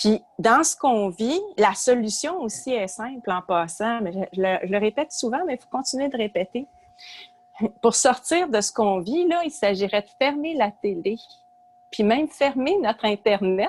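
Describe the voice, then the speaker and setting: A woman with a Quebec accent talks at a fairly slow pace and fairly high pitch, making very wide pitch swings and big swings in loudness, in a dry, close sound with no echo and noticeable background noise. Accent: Québécois French. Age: 60s. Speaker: retired psychology professor and author. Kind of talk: podcast interview.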